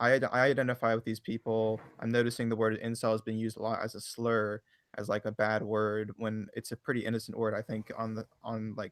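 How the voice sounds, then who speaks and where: Fairly quick, monotone speech with flat intonation and hardly any pauses, in an American accent, on a very clean recording with a silent background and a dry, close sound with no echo. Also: man, medium pitch for a man. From USA. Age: 20s. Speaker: online forum admin. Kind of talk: interview. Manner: hesitant, many fillers.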